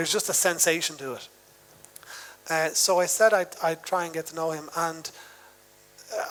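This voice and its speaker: With a Dublin accent, a man talks at a fairly quick pace with a fairly high pitch and fairly even intonation. Music plays in the background. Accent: Dublin Irish. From Ireland, Dublin suburb. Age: 40s. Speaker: novelist and musician. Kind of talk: onstage literary interview. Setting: festival stage with audience. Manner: hesitant, many fillers.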